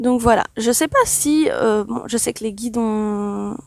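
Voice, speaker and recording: A soft-spoken woman talks with a fairly high pitch. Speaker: spiritual channeler. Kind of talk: channeling session. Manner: calm, meditative.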